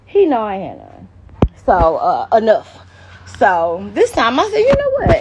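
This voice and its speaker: Speaking fairly slowly, a woman is heard with noticeable noise in the background. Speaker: live streamer. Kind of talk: casual vlog chat. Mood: animated, gossipy. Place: garage. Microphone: phone near.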